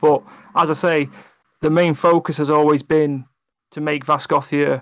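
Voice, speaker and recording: Against a quiet background, a man with an English accent speaks at a moderate pace in a fairly high pitch, keeping his intonation fairly even. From England. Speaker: tabletop game writer. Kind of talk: casual interview. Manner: halting.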